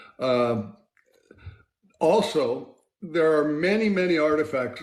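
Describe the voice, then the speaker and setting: Audible room echo surrounds a man talking at a very slow pace. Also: fairly high pitch for a man, lively intonation. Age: 60s. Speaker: scientist. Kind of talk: interview. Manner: halting.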